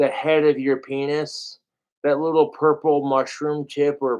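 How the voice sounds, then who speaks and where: A man with an ordinary speaking voice talks at a fairly slow pace, his fairly high pitch held in fairly even intonation. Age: 30s. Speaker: livestreamer. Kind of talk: livestream rant. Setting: livestream.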